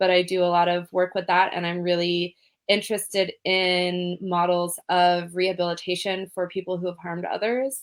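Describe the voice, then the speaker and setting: A woman with a Californian accent, fairly low pitch, monotone, flat intonation, moderate pace, hardly any pauses. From California, Berkeley. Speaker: trauma and safety educator, grant writer. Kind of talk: interview.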